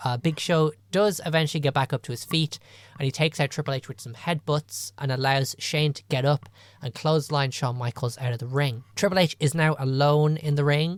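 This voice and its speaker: Fairly quick speech in an Irish accent, in a very clean recording with a silent background. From Ireland. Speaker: wrestling podcast co-host. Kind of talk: casual podcast recap of a wrestling show.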